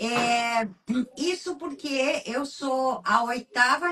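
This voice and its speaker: A woman's high-pitched voice carries ordinary pitch variation. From southern Brazil, Candelária, Rio Grande do Sul. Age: 60s. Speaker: writer and researcher. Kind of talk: interview. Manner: halting, many fillers.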